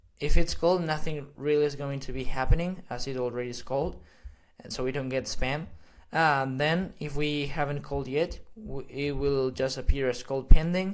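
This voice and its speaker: A man with a Spanish accent speaks at a moderate pace in a fairly high voice, his intonation fairly even while his loudness swings widely. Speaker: AI automation consultant. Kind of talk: tutorial. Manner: halting, many fillers.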